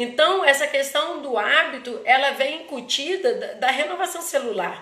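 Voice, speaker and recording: A woman's raised, projected voice at a high pitch, with lively intonation and a moderate pace. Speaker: therapist hosting live talk. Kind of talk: live stream talk. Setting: Instagram live. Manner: halting, many false starts.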